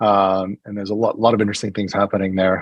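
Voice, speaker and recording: A man talks with an American accent at a fairly low pitch. The sound is dry and close, with no echo. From US Northeast, New Hampshire. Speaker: healthcare venture investor and executive. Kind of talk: interview. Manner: hesitant, many fillers and repeats.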